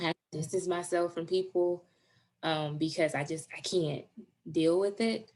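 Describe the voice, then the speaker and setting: A woman speaks at a moderate pace with a fairly low pitch. Her intonation stays fairly even. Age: 30s. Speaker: diversity advocate. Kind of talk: interview answer.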